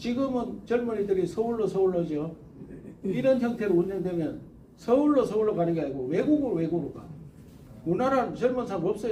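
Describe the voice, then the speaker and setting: A man with a Gyeongsang accent speaks at a fairly quick pace and high pitch. His intonation is lively, and the room echo is audible. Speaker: presidential candidate. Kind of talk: interview answer. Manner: animated.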